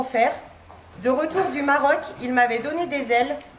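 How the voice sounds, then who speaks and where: A woman speaks in a high pitch with ordinary pitch variation at a moderate pace. Noticeable background noise and audible room echo fill the recording. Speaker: toy shop owner. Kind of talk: speech reading a prepared text. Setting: shop inauguration before audience, no microphone. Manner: loud, projecting without microphone.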